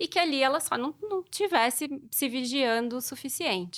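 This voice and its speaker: A woman speaks at a moderate pace with lively intonation and a bright, sharp tone. The recording is very clean, with a silent background. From southern Minas Gerais, Brazil. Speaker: Portuguese teacher. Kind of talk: podcast interview.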